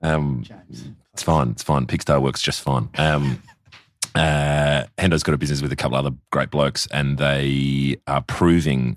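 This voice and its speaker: The speaker has an Australian accent and a moderate pace. The intonation stays fairly even. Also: man, very deep, low pitch for a man. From South Australia. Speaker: bar owner. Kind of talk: casual interview chat.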